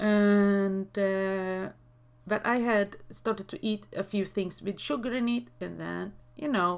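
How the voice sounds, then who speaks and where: Speaking at a very slow pace, a woman has a Swedish accent. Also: medium pitch for a woman, ordinary pitch variation. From Sweden. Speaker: YouTuber. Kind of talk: casual vlog talk. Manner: halting, many fillers.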